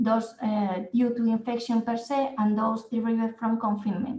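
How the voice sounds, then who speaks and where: Somewhat breathy and fairly high-pitched, a woman with a Spanish accent talks at a moderate pace in audible room echo. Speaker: nursing and physiotherapy researcher. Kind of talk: conference presentation. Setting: online conference. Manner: hesitant, with fillers.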